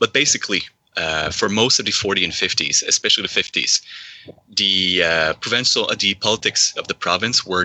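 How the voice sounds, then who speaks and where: A man's fairly quick speech with a Quebec French accent and ordinary pitch variation. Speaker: caller. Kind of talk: discussion call.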